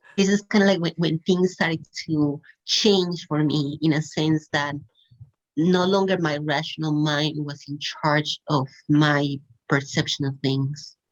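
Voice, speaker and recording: A woman speaks at a fairly slow pace with a non-native accent. Her pitch is very deep and low, and her intonation stays fairly even. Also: long, frequent pauses. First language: not English. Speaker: podcast guest sharing spiritual awakening story. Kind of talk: casual interview conversation. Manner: hesitant, many fillers.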